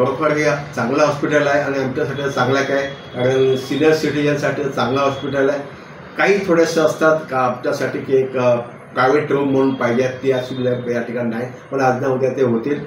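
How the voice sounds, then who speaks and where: Through noticeable background noise, a man speaks in a fairly high pitch with monotone, flat intonation. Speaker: retired government employee. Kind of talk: patient testimonial.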